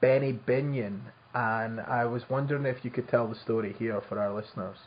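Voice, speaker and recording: Somewhat breathy, a man with a Scottish accent talks at a moderate pace. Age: 30s. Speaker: podcast host. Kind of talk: interview. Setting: remote call.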